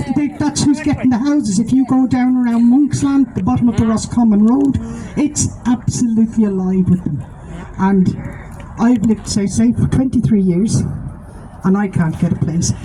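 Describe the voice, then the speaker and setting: A woman with a Dublin accent speaks at a moderate pace in a fairly high voice, with lively intonation. Her loudness stays very even, and there is noticeable background noise. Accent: Dublin Irish. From Ireland, Dublin. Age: 60s. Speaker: activist. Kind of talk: protest speech.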